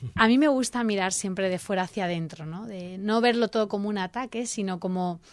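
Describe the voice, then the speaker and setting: Very fast and animated, a woman speaks at a medium pitch with ordinary pitch variation in a very clean recording with a silent background. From Spain, Elche (Alicante). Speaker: civic association president. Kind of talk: radio interview. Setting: radio studio.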